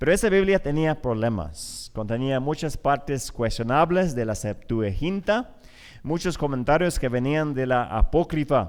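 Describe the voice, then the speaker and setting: The recording is very clean, with a silent background. A man with a fairly high pitch talks at a fairly slow pace with lively intonation. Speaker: conference speaker. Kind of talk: lecture. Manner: halting.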